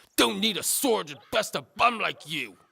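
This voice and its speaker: Growling in a put-on character voice, a man speaks at a moderate pace with big swings in loudness. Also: high pitch for a man. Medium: read story. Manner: loutish, boastful.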